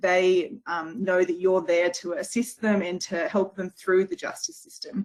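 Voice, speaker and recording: This woman has an Australian accent and a medium pitch. Her pitch varies in an ordinary way. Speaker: legal service worker. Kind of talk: webinar presentation. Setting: online webinar. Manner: fast.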